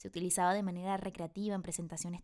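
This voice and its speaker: Upbeat woman's voice at a medium pitch with a dark, mellow tone. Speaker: voice actor. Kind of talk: online voice acting masterclass lecture.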